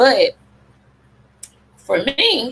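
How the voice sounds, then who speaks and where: A woman with a Southern US accent speaks in a passionate tone. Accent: Southern drawl. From Memphis, Tennessee. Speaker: public health advocate. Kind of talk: presentation talk. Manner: conversational, passionate.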